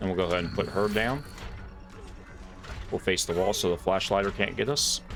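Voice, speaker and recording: A man's fairly low voice with ordinary pitch variation and long, frequent pauses, music in the background. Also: fairly quick pace. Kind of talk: casual gameplay commentary. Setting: home microphone.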